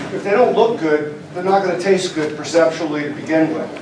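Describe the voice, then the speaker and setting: Amid noticeable background noise and audible room echo, a man with a high pitch talks at a fairly quick pace with ordinary pitch variation. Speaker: emergency management official demonstrating food kits. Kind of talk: live product demonstration at legislative meeting. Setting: legislative chamber. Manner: quiet.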